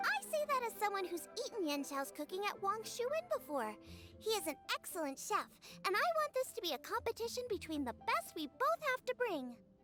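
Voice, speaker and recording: A woman's put-on character voice, extremely high and upbeat, with very wide pitch swings at a fairly quick pace over clear background music. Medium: video game. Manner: bright, upbeat.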